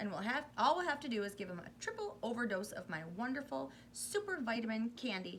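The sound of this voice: Unforced voice for reading aloud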